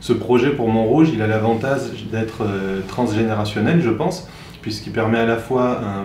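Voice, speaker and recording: With audible room echo and noticeable background noise, a man talks at a moderate pace in a fairly low pitch with ordinary pitch variation. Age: 30s. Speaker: humanitarian worker pitching a local project. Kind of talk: project pitch video. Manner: hesitant, frequent filler sounds.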